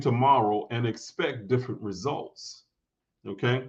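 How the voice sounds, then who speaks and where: Here a man is speaking. His pace is fairly slow. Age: 50s. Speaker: spiritual teacher. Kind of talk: podcast interview. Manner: halting.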